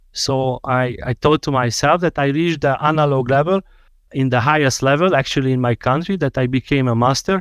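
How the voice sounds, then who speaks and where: In a Hungarian accent, a man with a fairly high pitch and ordinary pitch variation speaks at a moderate pace with very even loudness. The sound is dry and close with no echo, against a quiet background. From Hungary. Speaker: dental technician and lecturer. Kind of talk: podcast interview.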